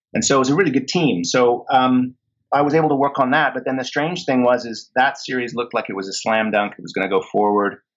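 A man with an unremarkable speaking voice, medium pitch and ordinary pitch variation against a quiet background. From England, moved to Canada as a child. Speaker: actor and TV producer. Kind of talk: interview.

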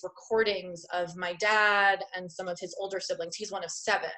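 In a New York accent, a woman talks at a fairly slow pace with a medium pitch and monotone, flat intonation. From Long Island, New York. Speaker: art therapist and business owner. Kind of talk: interview.

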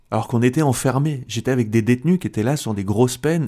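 Very clean and silent in the background, the recording captures a man at a medium pitch. His dark, mellow tone carries ordinary pitch variation. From France, Algerian parents. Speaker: comedian and convert giving testimony. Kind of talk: testimony. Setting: radio studio. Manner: halting, many repetitions.

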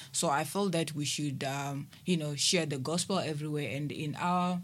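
Over audible room echo, a woman with a very deep, low voice speaks at a moderate pace with fairly even intonation. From South Africa, Limpopo. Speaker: ministry administrator. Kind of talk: radio panel discussion. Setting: studio.

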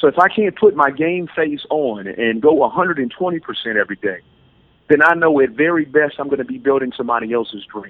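This man has an unremarkable speaking voice with a fairly high pitch. He talks at a fairly quick pace with an American accent. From US South, Louisiana (New Orleans area, Slidell). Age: 30s. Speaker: life coach and motivational speaker. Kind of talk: podcast interview.

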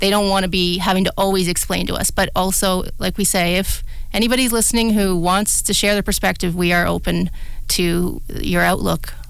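Fairly quick woman's voice in a Canadian accent at very even loudness, with audible room echo and noticeable background noise. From southwestern Ontario, Canada. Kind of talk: radio talk show, casual chat. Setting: radio studio.

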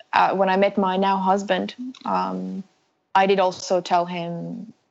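Very slow speech from a woman with a Finnish accent, medium pitch and a monotone, flat intonation. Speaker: researcher and endurance runner. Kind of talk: interview.

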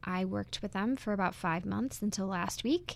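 In a very clean recording with a silent background, a woman with an American accent and a normal speaking voice talks at a moderate pace and medium pitch. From US Midwest (Wisconsin). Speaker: recent college graduate. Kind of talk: casual interview.

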